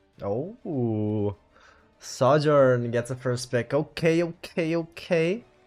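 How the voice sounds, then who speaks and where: Over music in the background, a man with an American accent talks at a very slow pace with lively intonation. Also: medium pitch for a man. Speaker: tournament stream host. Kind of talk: livestream match interview.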